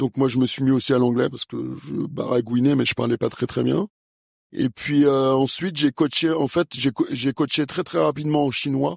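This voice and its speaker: A man at a medium pitch with ordinary pitch variation and a moderate pace, in a dry, close sound with no echo. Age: 50s. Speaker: fencing coach and former Olympic fencer. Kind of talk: interview. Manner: hesitant, many fillers.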